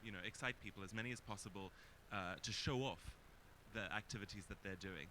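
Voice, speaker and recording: This loud man talks at a fairly quick pace with a fairly low pitch. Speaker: panelist. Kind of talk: panel discussion.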